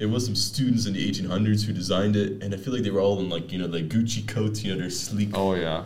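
A man's fairly low voice at a very fast pace with hardly any pauses and fairly even intonation, amid noticeable background noise and audible room echo. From Netherlands and Canada. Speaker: podcast host. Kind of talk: casual chat.

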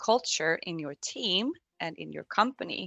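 Speaking at a fairly slow pace, a woman uses an ordinary speaking voice with lively intonation. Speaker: operations manager. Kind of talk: panel discussion.

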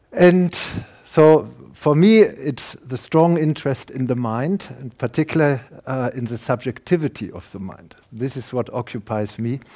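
A man with a German accent talks fairly slowly at a medium pitch. His intonation is lively and his loudness swings widely. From Germany. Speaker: professor and neuroscientist. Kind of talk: lecture.

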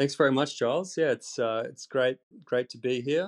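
A man with an Australian accent speaks at a fairly slow pace. The sound is dry and close with no echo, over a quiet background. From Australia, central Queensland. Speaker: EV reporter and YouTuber. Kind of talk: podcast interview. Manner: hesitant with frequent repetitions.

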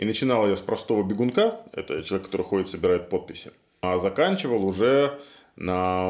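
A normal speaking voice moves at a fairly quick pace in a very clean recording with a silent background. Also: man. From Belarus, Minsk. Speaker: psychologist. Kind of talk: interview.

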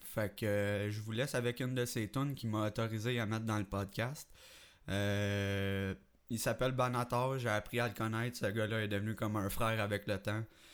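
Very cleanly recorded against a silent background, a man speaks at a moderate pace with a fairly low pitch, fairly even intonation and very even loudness. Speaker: amateur podcast host and rapper. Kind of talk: casual solo podcast talk. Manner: hesitant, many fillers.

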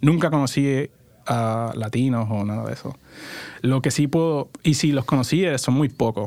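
This man's voice has a dark, mellow tone at a medium pitch. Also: ordinary pitch variation, moderate pace. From Puerto Rico. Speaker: startup founder, former accountant. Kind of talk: interview. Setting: studio.

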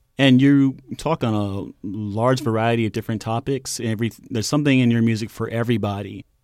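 At a fairly quick pace and with hardly any pauses, a man with a normal speaking voice talks at medium pitch with fairly even intonation, the recording very clean, dry and close with no echo and a silent background. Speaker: radio host. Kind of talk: radio interview show. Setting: studio.

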